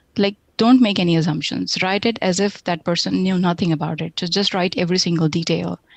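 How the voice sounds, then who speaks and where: A woman talks at a fairly quick pace with hardly any pauses, in an Indian accent. Her pitch is fairly low and her voice has vocal fry. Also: ordinary pitch variation. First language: Hindi. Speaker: software tech lead. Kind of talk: interview.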